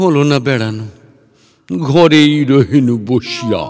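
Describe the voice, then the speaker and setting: The speaker uses a put-on character voice with ordinary pitch variation. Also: man, medium pitch for a man. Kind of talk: comic verse dialogue. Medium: read story. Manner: pompous, slow, rambling.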